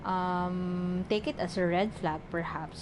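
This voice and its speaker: A woman talks at a medium pitch in a somewhat breathy voice. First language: not English. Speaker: tarot reader. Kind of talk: tarot reading. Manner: halting, many fillers.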